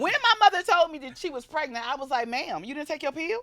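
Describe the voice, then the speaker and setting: A woman speaks in a raised, projected voice at a fairly quick pace, with an animated tone, very wide pitch swings and noticeable background noise. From Atlanta, Georgia (US South). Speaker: comedian. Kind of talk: casual interview chat. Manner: loud, animated.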